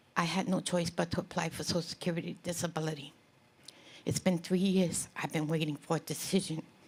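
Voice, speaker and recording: At a moderate pace, a woman speaks in a fairly low, somewhat breathy voice with monotone, flat intonation. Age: 60s. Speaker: audience member asking a question. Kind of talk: question at town hall. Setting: town hall with audience.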